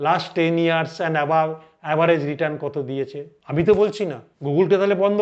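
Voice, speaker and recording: The voice is a man's, pitched high. It varies in pitch in an ordinary way. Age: 60s. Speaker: financial advisor. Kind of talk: educational talk to camera.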